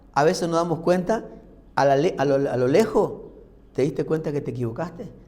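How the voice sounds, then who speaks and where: Lively intonation from a somewhat breathy man at a moderate pace, with audible room echo. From Argentina, Formosa/Corrientes. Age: 60s. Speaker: pastor. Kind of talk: sermon. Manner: conversational, uses rhetorical questions.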